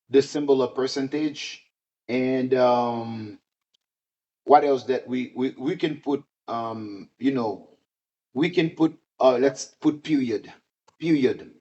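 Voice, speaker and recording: Pausing long and often, a man speaks very slowly in a medium pitch with fairly even intonation. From Haiti. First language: Haitian Creole. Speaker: teacher. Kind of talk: tutorial. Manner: halting, many fillers.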